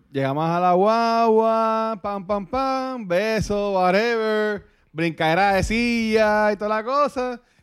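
In a very clean recording with a silent background, a man speaks very slowly in a high voice with ordinary pitch variation. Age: 30s. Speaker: podcast guest. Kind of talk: casual chat.

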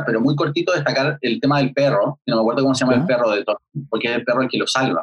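A man speaks with a Chilean accent. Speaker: podcast guest, series reviewer. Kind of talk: casual chat. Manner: talkative.

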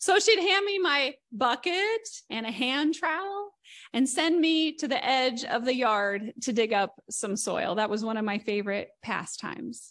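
Her pitch is high and swings very widely. The woman speaks at a fairly slow pace. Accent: Midwestern American. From southern Indiana, Greene County. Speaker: guest minister. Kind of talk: sermon. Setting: church service.

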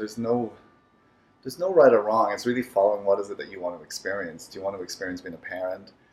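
At a very fast pace, a man with a fairly low pitch makes very wide pitch swings and big swings in loudness. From Ireland, Dublin. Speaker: therapist and former actor. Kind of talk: casual interview.

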